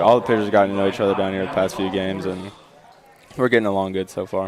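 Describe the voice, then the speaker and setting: A man talks at a very fast pace in a fairly low pitch. His intonation is monotone and flat, with noticeable background noise. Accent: Southern US. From Tennessee, Spring Hill. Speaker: college baseball pitcher. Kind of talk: live interview during game. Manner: hesitant, with filler words.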